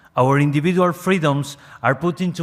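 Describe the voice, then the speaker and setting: In an Argentine accent, a man talks at a moderate pace, his fairly high pitch showing ordinary variation. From Argentina. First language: Spanish. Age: young. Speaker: NGO representative. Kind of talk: reading aloud a prepared statement.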